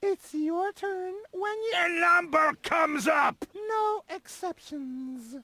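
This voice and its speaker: A put-on character voice at extremely high pitch, very slow in pace with hardly any pauses. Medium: video game. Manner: curt, barking.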